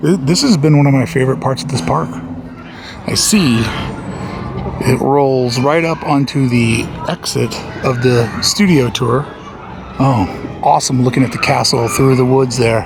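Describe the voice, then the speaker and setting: Amid noticeable background noise and audible room echo, a man speaks at a moderate pace with lively intonation and long, frequent pauses. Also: medium pitch for a man. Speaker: theme park vlogger. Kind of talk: walking vlog narration. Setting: outdoors in theme park. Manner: loud.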